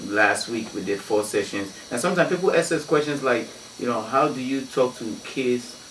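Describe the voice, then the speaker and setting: Someone speaks at a fairly quick pace, with noticeable background noise and audible room echo. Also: man. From Ghana. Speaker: DJ and anti-violence activist. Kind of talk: radio interview. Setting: radio studio. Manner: halting, many fillers.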